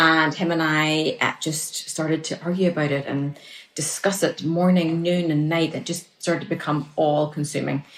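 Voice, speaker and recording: A moderate pace and monotone, flat intonation in a Northern Irish accent. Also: woman, very deep, low pitch for a woman. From Northern Ireland. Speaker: relationship coach. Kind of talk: casual interview chat.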